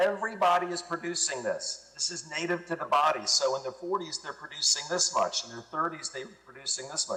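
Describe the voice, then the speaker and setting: A man talking fairly quickly with hardly any pauses amid noticeable background noise. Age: 60s. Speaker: product promoter guest. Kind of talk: interview.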